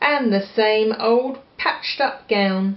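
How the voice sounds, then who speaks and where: The speech comes at a very slow pace with an English accent. Pitch varies in an ordinary way. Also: woman. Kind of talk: children's picture book reading. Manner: gentle, engaging, asks the listener questions.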